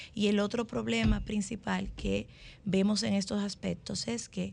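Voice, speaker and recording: A woman at medium pitch speaks with vocal fry. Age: 40s. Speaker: family lawyer and columnist. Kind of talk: radio panel discussion.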